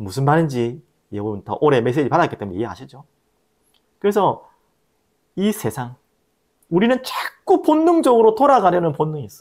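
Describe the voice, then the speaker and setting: A man is speaking. His pace is fairly quick. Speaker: pastor. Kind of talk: sermon.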